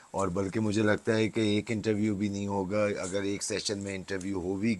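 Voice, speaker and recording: This man speaks with a very deep, low pitch. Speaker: podcast host. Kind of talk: interview host talk.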